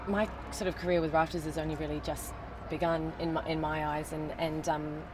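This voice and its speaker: Speaking very fast with a New Zealand accent, a woman with a very deep, low pitch keeps a monotone, flat intonation over noticeable background noise and audible room echo. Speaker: television actress. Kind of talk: casual interview. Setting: in a car.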